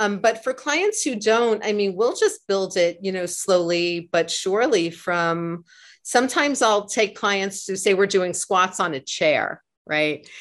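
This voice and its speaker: This woman has a normal speaking voice with ordinary pitch variation and a medium pitch. She speaks at a fairly slow pace against a quiet background. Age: 50s. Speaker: pilates instructor. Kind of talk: interview.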